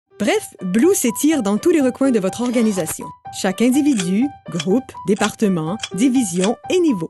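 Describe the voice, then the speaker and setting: A woman's fairly high voice at a moderate pace, upbeat and confident in tone with lively intonation, dry and close with no echo, music playing behind her. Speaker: voice actor. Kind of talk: corporate narration. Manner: upbeat, dynamic, confident.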